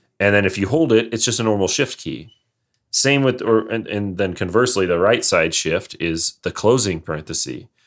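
A man with a northern US accent, fairly low in pitch, with lively intonation at a moderate pace, in a very clean recording against a silent background. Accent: general American, northern US. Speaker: podcast host. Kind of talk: casual chat.

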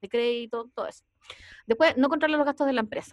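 Ordinary pitch variation runs through a woman's speech with a Chilean accent. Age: 40s. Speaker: podcast host, entrepreneur. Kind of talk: casual chat.

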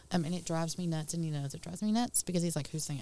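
Here is a woman with fairly low pitch. Her tone is dark and mellow. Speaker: guest co-host. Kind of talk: casual radio banter. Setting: studio. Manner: lively.

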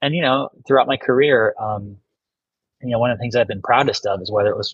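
A man with an American accent sounds somewhat breathy, with ordinary pitch variation. The sound is dry and close, with no echo. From US Midwest, northeast Ohio. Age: 50s. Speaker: lawyer and former judge. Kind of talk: casual interview.

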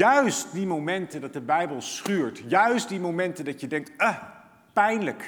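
The pitch swings very widely, and audible room echo surrounds the voice. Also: man. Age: 40s. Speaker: pastor. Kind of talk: sermon.

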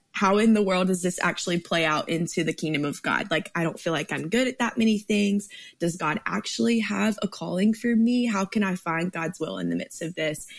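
A woman talks at a fairly quick pace with hardly any pauses, her medium-pitched voice showing vocal fry and ordinary pitch variation. The recording is very clean, with a silent background. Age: 20s. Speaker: ministry staff member and Bible teacher. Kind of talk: Bible teaching. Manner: animated.

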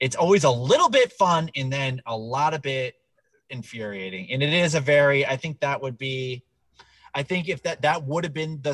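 This man has an unremarkable speaking voice at a medium pitch, with ordinary pitch variation and a dry, close sound with no echo. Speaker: podcast host. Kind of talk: casual comedy podcast banter.

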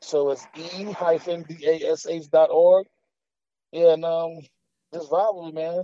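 The speech moves at a very slow pace, broken by long, frequent pauses. Its intonation stays monotone and flat while the loudness swings widely. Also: man, high pitch for a man. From Atlanta, Georgia (born in Queens, New York). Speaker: rapper. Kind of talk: interview. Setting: phone call. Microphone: phone line.

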